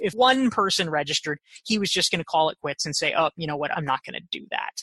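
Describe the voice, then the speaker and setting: A woman with an American accent speaks at a very fast pace, her bright, sharp tone swinging very widely in pitch with vocal fry. The sound is dry and close, with no echo. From US South, North Carolina (Pinehurst). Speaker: author and business consultant. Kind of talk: interview. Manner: energetic, upbeat.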